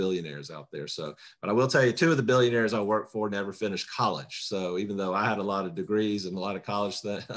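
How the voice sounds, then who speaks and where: A man with a Southern US accent speaks at a very fast pace. His pitch is fairly low, with ordinary variation. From South Carolina, US South. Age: 50s. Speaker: political candidate. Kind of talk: candidate self-introduction. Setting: video call. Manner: talkative, long-winded.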